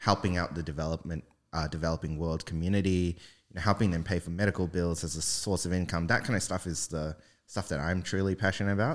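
The speaker has a New Zealand accent and a very fast pace with fairly even intonation. The recording is very clean, with a silent background. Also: man, very deep, low pitch for a man. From New Zealand, Auckland. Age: 20s. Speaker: web3 engineer. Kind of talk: casual chat.

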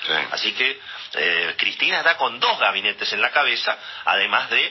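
A man talks at a moderate pace with noticeable noise behind him. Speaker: economics journalist, radio columnist. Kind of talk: radio commentary. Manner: conversational, with filler hesitations.

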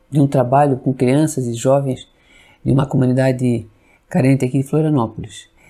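This man talks at a moderate pace in a dark, mellow tone, his pitch fairly high and his intonation fairly even. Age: 50s. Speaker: Spiritist religious educator, civil servant. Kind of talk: podcast interview.

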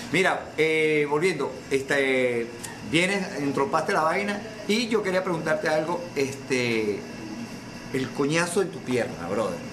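A man with a Venezuelan accent speaks at a fairly slow pace and fairly high pitch, with lively intonation. Room echo is audible, along with noticeable background noise. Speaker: podcast host. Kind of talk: casual chat.

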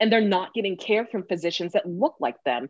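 Speaking with lively intonation and an American accent, a woman with an unremarkable speaking voice talks at a medium pitch against a quiet background. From California. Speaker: podcast host. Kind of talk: interview.

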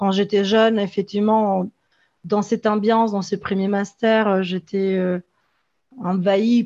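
A woman's medium-pitched voice at a fairly slow pace, with fairly even intonation and a quiet background. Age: 30s. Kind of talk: testimony. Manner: halting.

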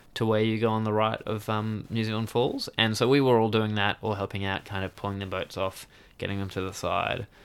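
With an Australian accent, a man speaks at a fairly quick pace in monotone, flat intonation. The recording is very clean, with a silent background. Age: 20s. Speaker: outdoor adventurer and river paddler. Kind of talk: interview storytelling. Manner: hesitant, many fillers.

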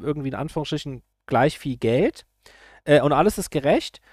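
Here a man talks at a fairly quick pace. The recording is very clean with a silent background and a dry, close sound with no echo. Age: 40s. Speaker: YouTuber. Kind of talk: political commentary monologue. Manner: hesitant, many filler sounds.

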